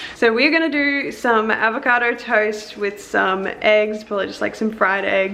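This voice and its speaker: A woman's fairly high voice in a strong Australian accent at a moderate pace, with audible room echo and noticeable background noise. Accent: broad Australian. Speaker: lifestyle vlogger. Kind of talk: casual vlog chat.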